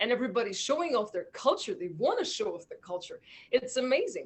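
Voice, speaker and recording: A woman's voice amid noticeable background noise. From Azerbaijan. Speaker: musician. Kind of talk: interview. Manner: halting.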